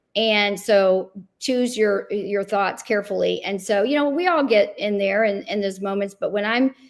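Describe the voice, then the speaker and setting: Speaking with a plain, everyday voice, a woman keeps a medium pitch, ordinary pitch variation, a moderate pace and hardly any pauses. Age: 60s. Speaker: luxury real estate agent. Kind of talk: panel discussion.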